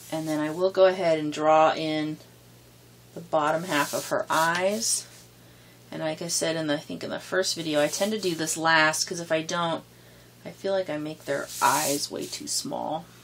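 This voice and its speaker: Fairly even intonation in a woman's very deep, low voice. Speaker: art tutorial creator. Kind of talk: tutorial. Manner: hesitant with many fillers; fast.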